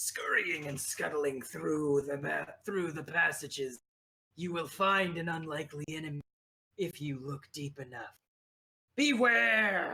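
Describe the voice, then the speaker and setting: A put-on character voice, middle in pitch, at a fairly slow pace. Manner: eerie, prophetic, warning.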